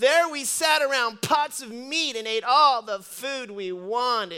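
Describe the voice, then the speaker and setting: A put-on character voice, high-pitched and whiny. It moves at a fairly slow pace. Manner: whiny, complaining.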